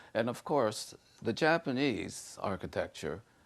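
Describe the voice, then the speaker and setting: A man's voice with vocal fry, lively intonation and a very slow pace. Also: quiet background. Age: 70s. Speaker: sculptor. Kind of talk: interview. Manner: halting, with frequent repetitions.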